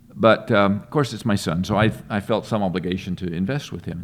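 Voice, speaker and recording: At a fairly quick pace, a man speaks in a very deep, low pitch. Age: 60s. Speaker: investment firm executive, army veteran. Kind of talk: podcast interview. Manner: halting, many fillers and repeats.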